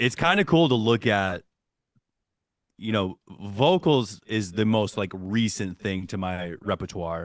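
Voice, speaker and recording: A man with an American accent and a normal speaking voice talks at a fairly slow pace and fairly low pitch with ordinary pitch variation, in a dry, close sound with no echo and a quiet background. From Michigan. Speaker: metal musician. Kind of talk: podcast interview. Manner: casual, filler-heavy.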